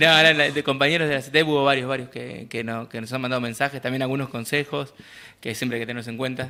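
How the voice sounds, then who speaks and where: In an Argentine accent, a man talks at a very fast pace with a medium pitch and monotone, flat intonation. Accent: Argentine Spanish (Rioplatense). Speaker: community radio host. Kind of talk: radio discussion on agrarian reform; casual radio chat.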